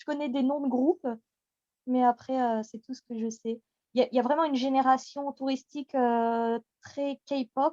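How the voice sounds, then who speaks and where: A woman with a high voice speaks at a fairly slow pace, the sound dry and close with no echo. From France, Picardy and Paris. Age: 30s. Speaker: radio host and community admin. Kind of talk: interview. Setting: podcast recording.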